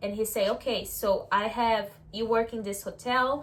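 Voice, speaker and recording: A woman talks at a moderate pace in a strong Brazilian accent. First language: Portuguese. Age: 20s. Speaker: vlogger. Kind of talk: casual talk to camera.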